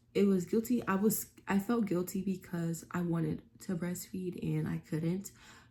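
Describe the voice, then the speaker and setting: A woman's somewhat breathy, dark, mellow tone at a moderate pace with fairly even intonation. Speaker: vlogger. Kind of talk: casual vlog talk. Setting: at home. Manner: speaking low; many fillers (um).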